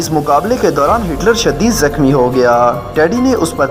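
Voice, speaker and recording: Music plays in the background as a man with a fairly high pitch speaks with very wide pitch swings. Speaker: narrator. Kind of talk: history fact narration.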